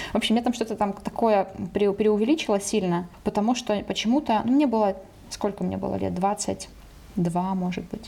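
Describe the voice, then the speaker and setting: A woman with an unremarkable speaking voice talks at medium pitch and a moderate pace. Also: fairly even intonation. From Ukraine, Dnipro. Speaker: podcast co-host, language editor. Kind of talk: casual chat.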